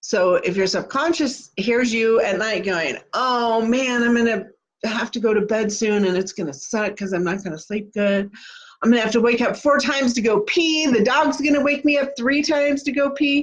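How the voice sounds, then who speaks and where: A woman speaks with a Kansas accent. Her pace is moderate. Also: fairly high pitch for a woman, lively intonation. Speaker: manifesting coach. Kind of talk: live stream talk. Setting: live video stream. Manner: casual.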